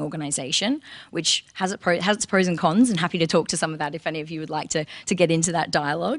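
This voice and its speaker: At a very fast pace, a woman with an Australian accent talks in a fairly low pitch with ordinary pitch variation. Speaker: recruitment marketing lead. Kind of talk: conference presentation.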